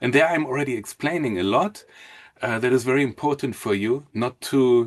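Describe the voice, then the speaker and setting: At a fairly quick pace, a man with a strong German accent speaks at medium pitch with ordinary pitch variation. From Germany, Hamburg. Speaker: mortgage consultant. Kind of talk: webinar presentation. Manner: halting.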